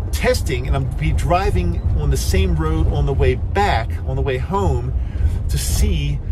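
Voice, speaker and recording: At a fairly slow pace, a man talks with music in the background. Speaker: RV owner vlogger. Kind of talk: casual vlog chat. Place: car. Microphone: phone near.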